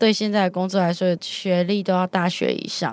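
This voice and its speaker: A woman speaks at a moderate speed. The recording is very clean and the background silent. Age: 20s. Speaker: telecom customer service worker. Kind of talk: interview testimony.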